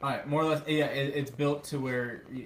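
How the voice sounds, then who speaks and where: The speech is mumbled at a moderate pace. Audible room echo surrounds it. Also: man. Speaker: company CEO. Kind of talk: live stream chat. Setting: soundproofed shed. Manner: mumbling.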